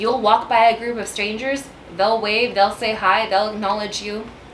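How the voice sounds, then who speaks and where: Over noticeable background noise, a woman with a Texan accent speaks in a fairly high pitch. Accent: Texan American English. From San Antonio, Texas. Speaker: realtor. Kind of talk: casual talk to camera.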